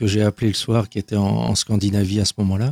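The man's voice has a dark, mellow tone in a dry, close recording with no echo. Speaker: author and abuse survivor. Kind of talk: testimony interview. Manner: halting, many repetitions.

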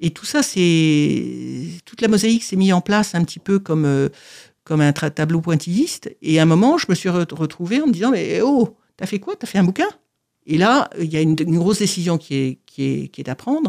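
In a very clean recording with a silent background and a dry, close sound with no echo, a woman with a fairly low pitch speaks at a moderate pace with lively intonation. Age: 60s. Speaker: author with paraplegia. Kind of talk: testimony. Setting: studio. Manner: halting.

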